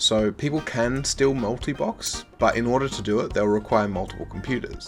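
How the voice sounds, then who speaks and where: With music in the background, a man speaks at a medium pitch and moderate pace, his pitch varying in an ordinary way. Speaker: gaming video creator. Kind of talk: casual gaming news commentary.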